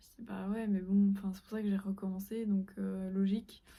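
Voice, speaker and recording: A woman's dark, mellow, somewhat breathy voice at a medium pitch, racing at a very fast pace in a monotone, flat intonation. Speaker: fashion student vlogger. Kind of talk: casual vlog. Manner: hesitant.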